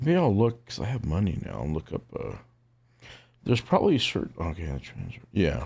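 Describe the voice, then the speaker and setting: On a very clean recording with a silent background, a man with a fairly low pitch and vocal fry talks at a fairly quick pace through very wide pitch swings. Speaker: streamer. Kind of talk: casual chat. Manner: loud.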